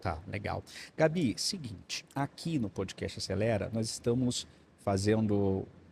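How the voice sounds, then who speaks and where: Somewhat breathy, a man with a fairly low voice speaks with lively intonation. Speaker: podcast host. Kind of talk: interview. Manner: fast.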